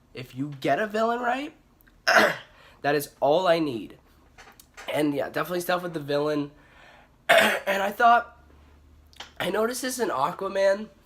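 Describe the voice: A woman puts on a raspy character voice at a medium pitch and a moderate pace, her pitch swinging very widely.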